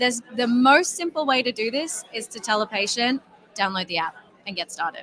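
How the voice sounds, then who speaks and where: A woman with an Australian accent talks at a fairly quick pace in a fairly high pitch. Her intonation is lively over noticeable background noise. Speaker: health app company representative. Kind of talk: interview. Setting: conference floor.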